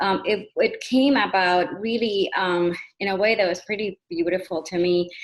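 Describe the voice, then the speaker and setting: A woman with a Spanish accent, at a fairly slow pace. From Puerto Rico. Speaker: panelist, program co-creator. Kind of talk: panel discussion. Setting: video call. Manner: halting.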